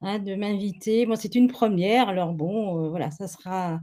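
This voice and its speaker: With a dark, mellow tone, a woman speaks at a medium pitch and ordinary pitch variation. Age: 70s. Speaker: family constellation therapist. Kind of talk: webinar interview. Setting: webinar video call. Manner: hesitant, many fillers.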